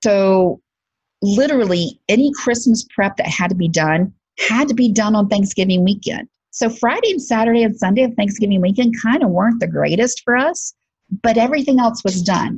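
The woman has a Southern US accent and a fairly high pitch. Her voice is somewhat breathy. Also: ordinary pitch variation, moderate pace. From Alabama, US South. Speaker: podcast host and career coach. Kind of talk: casual monologue podcast.

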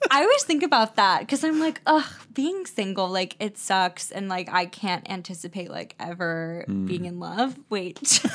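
Delivery comes at a fairly slow speed. The voice swings very widely in pitch. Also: woman. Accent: Wisconsin. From Wisconsin. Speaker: podcast co-host. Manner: casual, heavy use of "like" as filler.

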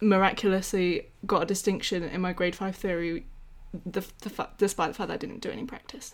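The speaker has an English accent. The intonation stays fairly even. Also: woman, very clean recording, silent background. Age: 20s. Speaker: podcast co-host, music graduate and singer. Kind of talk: casual chat.

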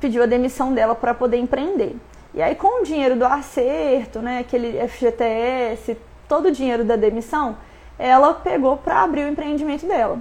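Her voice is high for a woman, and her pitch varies in an ordinary way. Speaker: business coach. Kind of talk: live stream talk. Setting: live stream.

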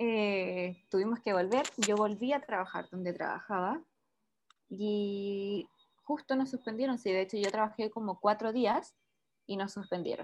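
An ordinary speaking voice: a woman at medium pitch with ordinary pitch variation, a fairly slow pace and a quiet background. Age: 20s. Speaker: entrepreneur. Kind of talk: casual interview.

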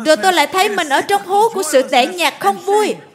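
Lively intonation from a woman, with noticeable background noise behind her. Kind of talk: sermon. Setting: church.

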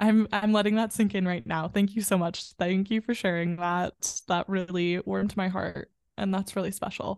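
In a plain, everyday voice, a woman with an American accent and medium pitch talks at a moderate pace with hardly any pauses over a quiet background. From US Midwest, western suburbs of Chicago. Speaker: performer and yoga guide. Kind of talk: guided breathing meditation led for podcast listeners. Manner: warm, effusive and bubbly in conversation.

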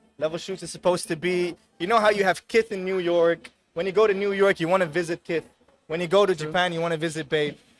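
Over background music, a man speaks very fast in a high pitch. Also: fairly even intonation. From Netherlands, Amsterdam. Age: 30s. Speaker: fashion entrepreneur. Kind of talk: casual chat. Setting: outdoors.

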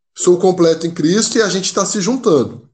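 This man speaks in a high pitch. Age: 20s. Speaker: seminarian and missionary. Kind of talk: casual chat.

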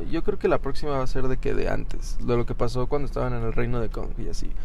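A man speaking at a very fast pace with hardly any pauses, in a room with audible echo. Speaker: podcast co-host. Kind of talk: casual chat. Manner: animated.

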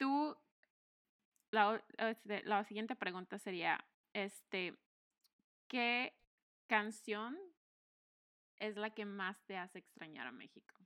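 Very slow and full of long, frequent pauses, a woman's medium-pitched voice carries lively intonation, a bright, sharp tone and big swings in loudness. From Mexico. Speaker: podcast co-host. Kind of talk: casual chat.

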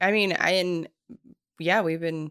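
Recorded very cleanly against a silent background, a woman's fairly low voice shows ordinary pitch variation in a dry, close sound with no echo. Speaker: podcast host. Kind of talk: casual chat. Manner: calm.

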